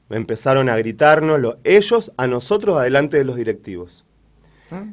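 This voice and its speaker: In a very clean recording with a silent background, a man speaks at a moderate pace with very wide pitch swings. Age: 40s. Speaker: local resident, victim of harassment. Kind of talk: testimony. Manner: halting.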